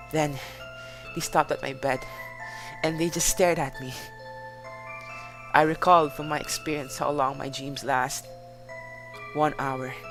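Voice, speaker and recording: Music plays in the background as a man speaks at a fairly high pitch. His intonation is fairly even, broken by long, frequent pauses. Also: moderate pace. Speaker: amateur horror story reader. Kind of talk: horror story reading.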